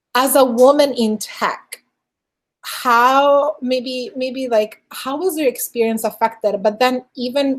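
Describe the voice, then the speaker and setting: A woman's high-pitched voice with a non-native accent, fairly even intonation and a fairly slow pace. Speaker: podcast host; engineering director. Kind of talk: interview.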